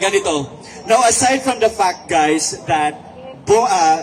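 Over noticeable background noise, a man with a Philippine accent talks at a fairly slow pace with lively intonation. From Visayas. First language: Cebuano (speaking Tagalog). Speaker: online writer. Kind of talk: rally speech. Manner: code-switching English and Tagalog.

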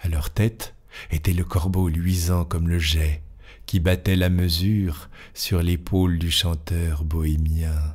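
A man talks at a very slow pace in a very deep, low voice that is somewhat breathy. His intonation is flat and monotone, and his loudness stays very even. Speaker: audiobook narrator. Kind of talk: dramatic literary narration of a Gothic tale, storm and omens. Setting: home studio with microphone. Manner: tense, ominous build-up as the storm and ravens gather; measured, expressive storyteller pacing.

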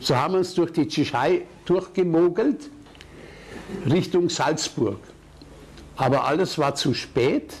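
At a very slow pace with long, frequent pauses, a man speaks at high pitch with ordinary pitch variation and very even loudness. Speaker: war veteran. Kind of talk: public talk recounting wartime memories.

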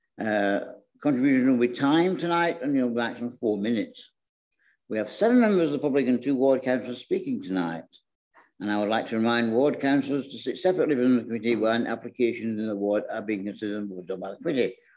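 A man talks very fast against a quiet background. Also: ordinary pitch variation. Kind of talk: formal meeting chairing. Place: hall. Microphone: podium.

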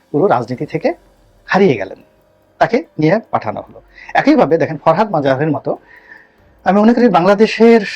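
A man's high voice swings very widely in pitch and shows big swings in loudness. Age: 50s. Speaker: political analyst. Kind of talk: political commentary monologue. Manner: halting, with frequent pauses.

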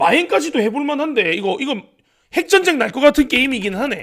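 With an extremely high pitch and a bright, sharp tone, a man speaks in very wide pitch swings. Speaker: sports betting tipster streamer. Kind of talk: casual betting-tips livestream.

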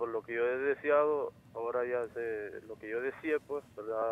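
Here a man speaks in a medium pitch. His intonation is monotone and flat. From Honduras. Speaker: caller. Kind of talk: phone-in question. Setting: phone call.

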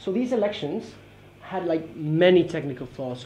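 A man talks at a fairly quick pace against light background noise. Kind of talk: academic presentation. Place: meeting room. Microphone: camera far.

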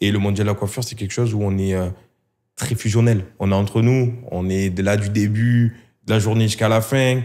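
At a moderate pace, a man speaks in a fairly low, dark, mellow voice with monotone, flat intonation. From southern France. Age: 30s. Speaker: hair clipper brand marketing employee; guest. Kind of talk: casual interview. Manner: hesitant, many fillers. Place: studio. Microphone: studio mic.

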